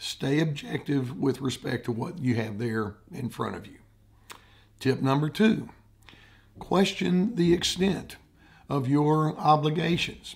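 A man with a fairly high pitch speaks at a fairly slow pace, somewhat breathy, with lively intonation, big swings in loudness, and long, frequent pauses. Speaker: therapist. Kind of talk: advice talk to camera.

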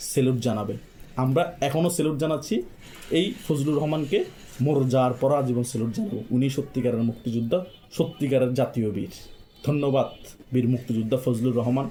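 With music in the background, a man speaks at medium pitch. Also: ordinary pitch variation. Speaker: political commentary YouTuber. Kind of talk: political monologue. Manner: impassioned.

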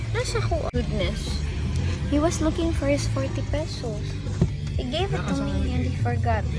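Loud music plays in the background while a woman speaks. She keeps a moderate pace with long, frequent pauses. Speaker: mother vlogger. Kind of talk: casual vlog talk to camera. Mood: relaxed, chatty. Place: car. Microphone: phone near.

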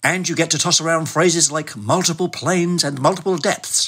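In a very clean recording with a silent background, a man with a British accent and vocal fry speaks at a moderate pace in a fairly high pitch. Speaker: podcast segment contributor.

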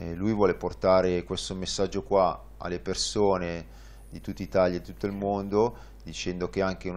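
Very deep and low, a man's voice moves at a moderate pace with lively intonation. His loudness swings a lot. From northern Italy, Varese; northern Italy. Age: 30s. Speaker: tandem cycling pilot; guest. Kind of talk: interview. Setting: studio. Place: studio. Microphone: lapel.

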